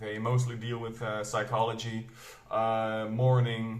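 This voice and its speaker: The voice moves at a fairly slow pace with monotone, flat intonation, and audible room echo is present. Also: man. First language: Flemish Dutch dialect. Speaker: booktuber, metal reviewer. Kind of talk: casual vlog talk. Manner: hesitant, many fillers.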